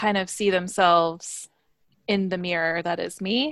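A woman at medium pitch, fairly slow pace and ordinary pitch variation, in a very clean recording with a silent background. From US Midwest. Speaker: human design reader. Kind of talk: interview conversation.

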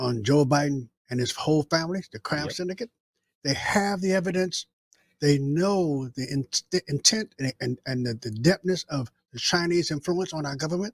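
A somewhat breathy man, fairly high in pitch, with lively intonation at a moderate pace. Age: 70s. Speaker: political commentator co-host. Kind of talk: casual chat.

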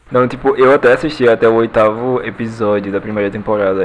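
A man with a medium pitch talks in fairly even intonation while noticeable background noise sits behind him. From Pernambuco, Brazil (Recife). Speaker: pop culture podcaster. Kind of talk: casual chat.

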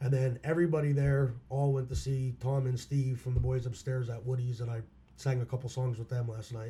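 A man with a Pennsylvania accent talks at a medium pitch in a dark, mellow, somewhat breathy tone with monotone, flat intonation. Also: fairly quick pace. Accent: Pennsylvania American. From Schuylkill County, Pennsylvania. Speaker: musician. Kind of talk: casual chat.

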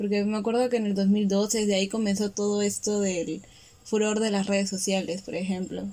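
A woman talks at a medium pitch. Her intonation stays monotone and flat. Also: moderate pace. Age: 20s. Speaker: podcast co-host, graphic designer. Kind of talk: casual chat.

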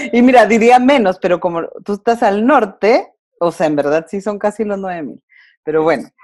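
At a moderate pace and with lively intonation, a woman talks in an ordinary speaking voice on a very clean recording with a silent background. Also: medium pitch for a woman. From Mexico, Durango. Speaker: wife and mother, podcast guest. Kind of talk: casual interview conversation.

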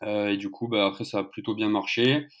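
On a very clean recording with a silent background, a man of medium pitch speaks at a moderate pace in a monotone, flat way. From southern France, Narbonne. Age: 20s. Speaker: football social media account runner. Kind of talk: casual chat.

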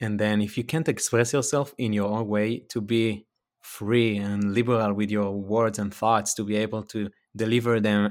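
Using an Israeli accent, a man talks at a fairly quick pace with a fairly low pitch and ordinary pitch variation. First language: Hebrew. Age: 30s. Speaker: actor and former triathlete. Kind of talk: casual interview. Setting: video call. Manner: animated.

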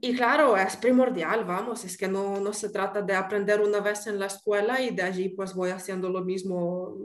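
This is a plain, everyday voice. The intonation stays fairly even. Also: woman. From Ukraine. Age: 30s. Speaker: pastry chef. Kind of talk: interview.

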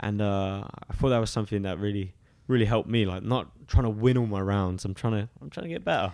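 With an English accent, this voice moves at a very fast pace. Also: man, fairly low pitch for a man, ordinary pitch variation. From eastern England, Suffolk. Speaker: professional MMA fighter. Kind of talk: interview. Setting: studio.

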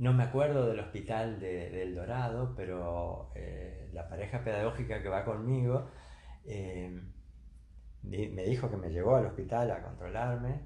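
Lively intonation from a man with vocal fry and fairly low pitch, plus audible room echo. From Argentina, Entre Ríos (Concepción del Uruguay). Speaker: retired engineer and university lecturer. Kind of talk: casual interview.

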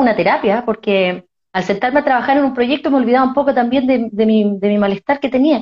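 High-pitched female speech, its pitch moving in an ordinary way. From Chile, Concepción area. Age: 40s. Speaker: breast cancer survivor and podcaster. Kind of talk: live online conversation. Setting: at home, live stream.

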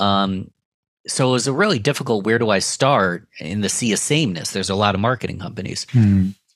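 In a very clean recording with a silent background, a man with a Western New York accent speaks at a moderate pace in a fairly low pitch, with ordinary pitch variation. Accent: Western New York (Inland North) American. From Rochester, New York. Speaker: podcast producer and entrepreneur. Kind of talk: interview.

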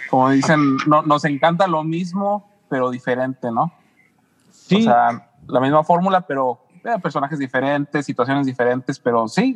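A man speaks in a plain, everyday voice at a moderate pace, with ordinary pitch variation. The sound is dry and close, with no echo. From San Luis Potosí, Mexico. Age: 40s. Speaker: podcast co-host. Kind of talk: casual interview chat.

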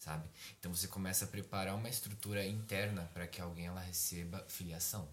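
A man talks at a fairly quick pace with a very deep, low pitch. His intonation is monotone and flat, and his voice is somewhat breathy. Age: 20s. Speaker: psychology student and preacher. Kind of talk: casual chat.

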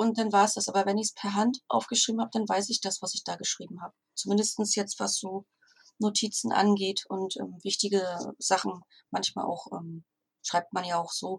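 A somewhat breathy woman at a medium pitch talks at a fairly quick pace in a monotone, flat intonation, the sound dry and close with no echo. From northern Germany, Stralsund. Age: 40s. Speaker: virtual assistant and copywriter. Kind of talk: interview.

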